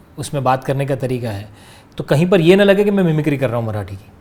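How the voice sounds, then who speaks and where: Noticeable background noise surrounds a man speaking. He keeps a moderate pace with lively intonation. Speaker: actor. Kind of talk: interview answer.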